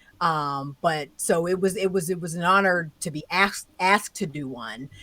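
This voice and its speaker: A woman with a fairly low pitch and a bright, sharp tone talks at a moderate pace, with ordinary pitch variation. Her loudness swings widely on a very clean recording with a silent background. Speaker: tech commentator, podcast co-host. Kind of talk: casual chat.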